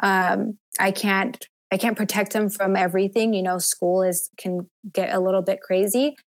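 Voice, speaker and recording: Her voice is an unremarkable speaking voice: a woman at a medium pitch, moderate pace, very even loudness and fairly even intonation. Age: 30s. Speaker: abuse survivor. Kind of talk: testimony.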